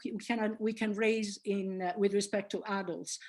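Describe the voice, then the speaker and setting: Fairly high-pitched woman with an Italian accent at a fairly slow pace, against a quiet background. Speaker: linguistics professor. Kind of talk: lecture. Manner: hesitant, many fillers.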